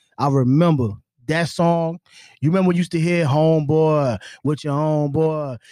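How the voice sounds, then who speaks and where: A man with an American accent speaks at a fairly high pitch and moderate pace, his tone dark and mellow, his loudness very even and his intonation fairly even. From US South. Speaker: entrepreneur. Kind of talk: casual chat.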